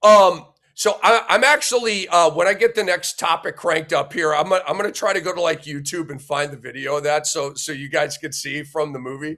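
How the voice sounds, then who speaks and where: At a fairly quick pace and with hardly any pauses, a man speaks in a bright, sharp tone with a fairly high pitch and ordinary pitch variation. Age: 50s. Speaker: sports talk show host. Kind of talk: casual sports talk. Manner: halting.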